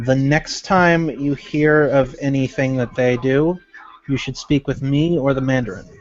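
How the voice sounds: This natural reading voice keeps a fairly even intonation.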